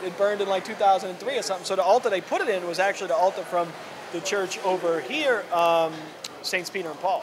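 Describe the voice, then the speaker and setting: Noticeable background noise sits behind a man talking very fast at a high pitch with ordinary pitch variation. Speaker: podcast host. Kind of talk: casual conversation.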